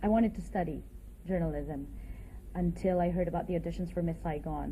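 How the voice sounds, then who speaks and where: A woman talks at a fairly quick pace. Room echo is audible around her voice. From Philippines. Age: 30s. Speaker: musical theatre actress. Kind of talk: interview testimony. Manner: hesitant, with fillers.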